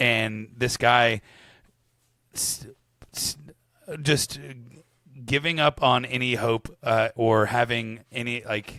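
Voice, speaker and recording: A man with a medium pitch, vocal fry and a bright, sharp tone speaks at a very slow pace with long, frequent pauses, the sound dry and close with no echo. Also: ordinary pitch variation. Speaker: podcast co-host. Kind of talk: casual book discussion.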